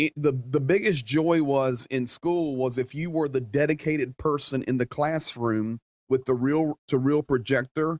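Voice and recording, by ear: A man talks at a fairly slow pace with medium pitch and fairly even intonation. His slightly mellow tone sounds dry and close, with no echo.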